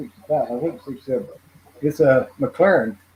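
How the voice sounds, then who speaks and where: A man at a fairly high pitch, somewhat breathy and dark and mellow in tone, with lively intonation at a fairly quick pace. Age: 60s. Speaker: model car hobbyist. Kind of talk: casual chat.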